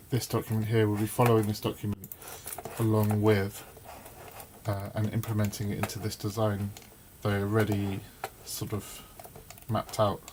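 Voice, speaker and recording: A man with a fairly low pitch speaks in monotone, flat intonation, leaving long, frequent pauses. Noticeable background noise runs behind him. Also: moderate pace. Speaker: electronics maker and YouTuber. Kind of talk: live design tutorial. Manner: halting, lots of fillers.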